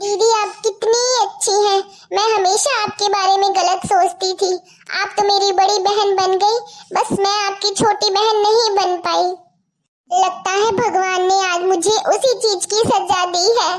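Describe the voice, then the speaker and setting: An extremely high-pitched woman in a put-on character voice, flat and monotone, at a moderate pace. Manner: tearful, self-reproaching.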